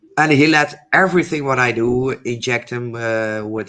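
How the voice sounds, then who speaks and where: The man talks with a Dutch accent. His pace is moderate and his pitch medium. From Netherlands. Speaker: panel guest on a livestream. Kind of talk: casual chat. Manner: halting.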